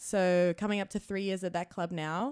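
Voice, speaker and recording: A woman with an Australian accent talks fairly quickly in a fairly low voice. The recording is very clean, with a silent background. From Australia, New South Wales. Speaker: comedy producer and manager. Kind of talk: casual interview chat.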